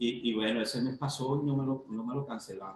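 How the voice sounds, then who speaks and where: A man's somewhat breathy voice at a medium pitch. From Venezuela, Trujillo state. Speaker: dome builder, migrant. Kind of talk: interview answer.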